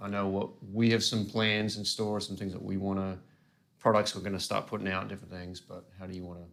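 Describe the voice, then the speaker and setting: In an Australian accent, a man talks fairly quickly in a fairly low, monotone, flat voice whose loudness swings widely. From Australia, Gold Coast. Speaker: pedal company staff, interviewer. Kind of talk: casual interview chat.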